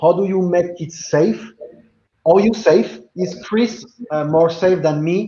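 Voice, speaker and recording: Speaking at a moderate pace, a man has a French accent. His voice sits high in pitch. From France. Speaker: blockchain business guest. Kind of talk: video call panel discussion.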